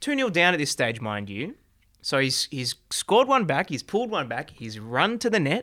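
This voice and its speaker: In an Australian accent, a man talks at a moderate pace in a fairly high pitch, his bright, sharp tone moving through very wide pitch swings with vocal fry. The recording is very clean with a silent background, and the sound is dry and close with no echo. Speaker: football show host. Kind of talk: casual banter podcast chat. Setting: studio, filmed video show. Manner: jokey, playful.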